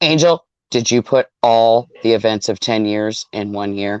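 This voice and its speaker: Against a quiet background, a man uses a put-on character voice at medium pitch and a moderate pace. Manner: booming, godlike.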